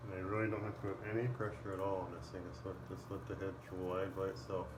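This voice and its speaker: Quiet and mumbling, a man talks at a very fast pace with fairly low pitch and ordinary pitch variation, with audible room echo and noticeable background noise. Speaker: shaving YouTuber. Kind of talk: casual tutorial while shaving.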